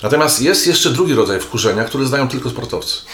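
A man is speaking with audible room echo. Noticeable background noise can be heard. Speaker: psychotherapist. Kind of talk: casual interview conversation. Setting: therapist's office. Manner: animated, expressive.

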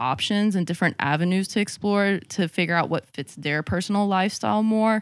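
An unremarkable speaking voice with ordinary pitch variation comes through a very clean recording, dry and close with no echo and a silent background. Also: woman. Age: 20s. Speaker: podcast guest. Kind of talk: casual chat.

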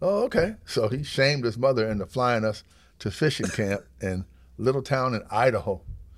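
An ordinary speaking voice with lively intonation at a moderate pace. The recording is very clean, with a silent background. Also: man, medium pitch for a man. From upstate New York. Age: 60s. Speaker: high school coach and teacher. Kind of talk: casual chat. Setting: gym.

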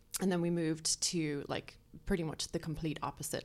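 A woman is speaking. Her pace is very fast. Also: very clean recording, silent background. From Ireland. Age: 30s. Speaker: makeup artist and YouTuber. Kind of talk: casual interview chat. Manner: animated, laughs often.

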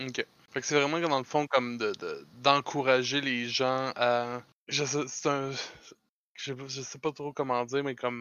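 Using a Quebec accent, a man speaks at a fairly slow pace and a medium pitch, with monotone, flat intonation and long, frequent pauses. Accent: Québécois French. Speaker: podcast host. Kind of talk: casual chat.

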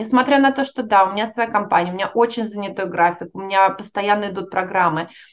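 A woman talks at a moderate pace. Hers is a normal speaking voice. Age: 40s. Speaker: organizational psychologist. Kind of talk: interview.

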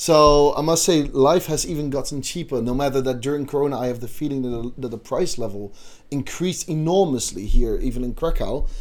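A man with a Dutch accent, fairly high pitch, ordinary pitch variation and a fairly quick pace. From Netherlands. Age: 20s. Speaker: student podcast host. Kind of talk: casual chat.

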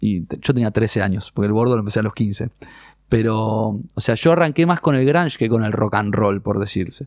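A man with an Argentine accent speaks at a fairly quick pace, with a fairly low pitch and ordinary pitch variation. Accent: Rioplatense Argentine Spanish. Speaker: rock musician. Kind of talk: casual interview conversation.

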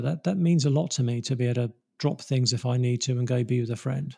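A man with a British accent speaks fairly quickly at a medium pitch. His tone is dark and mellow, and somewhat breathy. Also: very clean recording, silent background. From England. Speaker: pastor and author. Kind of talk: interview. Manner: halting.

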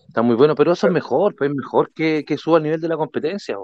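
Very fast talk from a man in a Chilean accent, fairly high in pitch. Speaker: gamer. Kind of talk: casual chat.

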